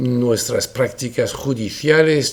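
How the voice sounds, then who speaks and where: Somewhat breathy, a man speaks with a French accent at a medium pitch and ordinary pitch variation, with audible room echo around him. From France. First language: French (speaking Spanish). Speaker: lawyer. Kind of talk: lecture. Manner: formal.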